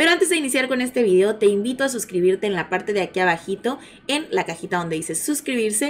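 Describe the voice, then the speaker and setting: Over light background noise, a woman talks at a very fast pace, her pitch swinging very widely. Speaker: news channel host. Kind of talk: casual news commentary.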